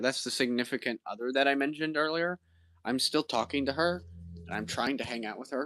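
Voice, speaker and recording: Recorded very cleanly against a silent background with a dry, close sound and no echo, a man with an American accent speaks at a fairly quick pace and a medium pitch, in a bright, sharp tone with ordinary pitch variation. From Indiana, US Midwest. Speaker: streamer. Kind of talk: casual chat. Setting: live stream from home kitchen. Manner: halting.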